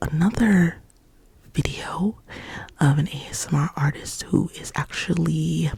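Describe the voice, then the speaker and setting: The talking is fairly slow, and background noise can clearly be heard. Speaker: ASMR artist. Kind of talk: ASMR ramble, up close ear to ear. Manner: repetitive, stuttering trigger words.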